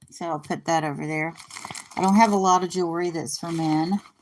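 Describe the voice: The tone is slightly mellow, at a moderate pace. Intonation stays fairly even. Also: woman.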